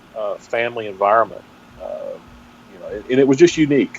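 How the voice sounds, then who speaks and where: Over noticeable background noise, a man speaks at a fairly quick pace with a strong Texas accent. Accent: strong Texas brogue. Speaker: pastor. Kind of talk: interview. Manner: halting.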